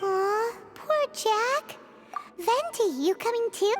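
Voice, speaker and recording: A squeaky, put-on character voice at an extremely high pitch goes along at a very slow pace. Loud background noise fills the recording. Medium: video game. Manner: blunt, excitable.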